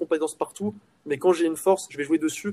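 Speaking at a very fast pace, the man has a fairly high pitch, recorded with a dry, close sound and no echo. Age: 20s. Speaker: entrepreneur. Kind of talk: casual chat.

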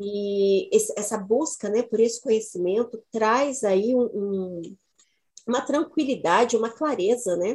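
Using an ordinary speaking voice, a woman talks at a fairly slow pace, her fairly high pitch showing ordinary variation. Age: 50s. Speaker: women's cycles educator. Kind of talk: casual chat.

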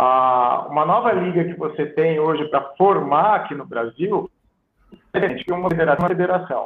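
Fairly slow and high-pitched, a man speaks with ordinary pitch variation. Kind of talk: podcast interview. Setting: live stream on phone. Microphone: phone audio without headset.

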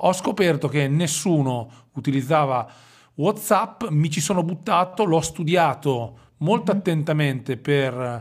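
A man with a Romagnolo accent talks fairly slowly in a fairly high voice with lively intonation. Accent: Romagnolo Italian with drawn-out S. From Romagna, Italy. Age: 40s. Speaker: digital marketing consultant. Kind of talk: casual interview.

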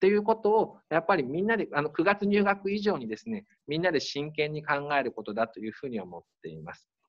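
The speech is very fast. Pitch swings very widely and loudness rises and falls sharply. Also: man, fairly high pitch for a man. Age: 40s. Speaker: high school principal. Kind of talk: interview.

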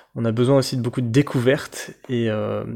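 A man speaks at a fairly quick pace in a medium pitch, his tone dark and mellow. His intonation stays monotone and flat on a very clean recording with a silent background. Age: 30s. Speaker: travel podcaster, engineer. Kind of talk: casual self-introduction. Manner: halting, with many fillers.

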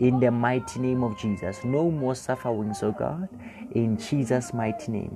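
Music in the background behind a man at a moderate pace, medium pitch and ordinary pitch variation. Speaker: pastor leading online prayer. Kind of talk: sermon and prayer. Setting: broadcast to remote listeners. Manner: fervent.

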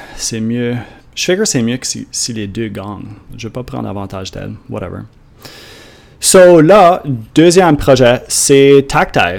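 Lively in intonation, a man with an Acadian accent speaks at a fairly slow pace with long, frequent pauses. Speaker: podcast host, online entrepreneur. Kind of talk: solo monologue podcast.

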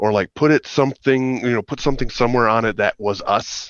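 At a fairly quick pace, a man with an ordinary speaking voice and medium pitch talks with fairly even intonation, the sound dry and close with no echo. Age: 30s. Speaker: band member. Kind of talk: casual chat.

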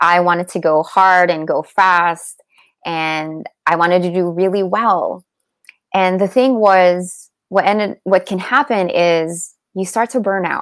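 In a normal speaking voice, a woman talks fairly slowly with a medium pitch and fairly even intonation on a very clean recording with a silent background. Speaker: meditation teacher and healer. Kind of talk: guided meditation. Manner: calm, slow, soothing; gentle, warm, instructional.

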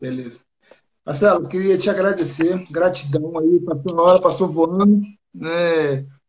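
A man speaks fairly slowly in a high pitch, his intonation fairly even. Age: 30s. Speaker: business live-stream host. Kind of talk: live-stream interview. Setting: online live stream.

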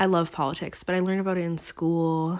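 A fairly low-pitched woman at a moderate pace, in a very clean recording with a silent background. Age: 20s. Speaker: solo podcaster, college student. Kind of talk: casual monologue. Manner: casual, hesitant with fillers and laughs.

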